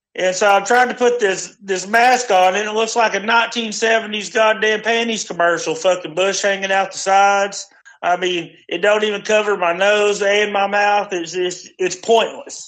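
This man's voice is loud and high-pitched, with fairly even intonation at a moderate pace. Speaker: friend calling in. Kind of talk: casual chat. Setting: phone call.

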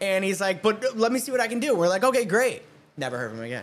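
A man's voice with very wide pitch swings. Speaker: singer in a band. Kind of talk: casual chat.

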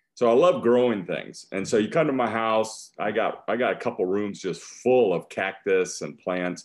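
Speaking in an ordinary speaking voice, a man with an American accent talks at a moderate pace and medium pitch, with ordinary pitch variation, hardly any pauses and a quiet background. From US Midwest (northeast Iowa). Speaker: church evangelist. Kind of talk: interview.

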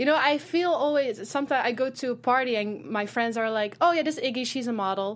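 A woman speaks in a Dutch accent at a fairly quick pace and fairly high pitch. The recording is very clean with a silent background. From Netherlands. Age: 20s. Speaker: fashion model. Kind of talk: interview. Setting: studio.

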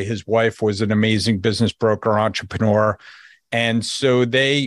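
A man's medium-pitched voice at a moderate pace, dry and close with no echo, over a quiet background. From New Jersey. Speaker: business brokerage executive. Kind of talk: podcast interview.

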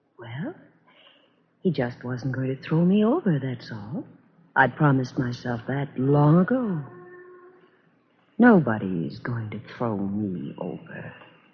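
A woman does a put-on character voice, extremely low in pitch, with big pitch swings at a slow pace.

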